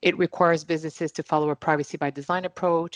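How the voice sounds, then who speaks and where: Spoken very fast with a Quebec accent, the voice stays monotone and flat, recorded dry and close with no echo against a quiet background. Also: woman. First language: French. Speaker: privacy lawyer panelist. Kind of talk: online panel discussion.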